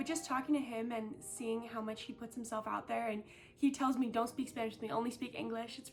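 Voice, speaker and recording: There is noticeable background noise behind this woman. She talks at a very fast pace with a fairly high pitch and fairly even intonation. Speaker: volunteer English tutor. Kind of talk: recorded testimonial. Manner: loud.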